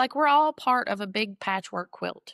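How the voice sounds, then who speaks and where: Lively in intonation, a woman speaks at a moderate pace on a very clean recording with a silent background and a dry, close sound with no echo. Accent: Appalachian. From Western North Carolina. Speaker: ballad singer. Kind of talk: interview answer. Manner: casual, storytelling.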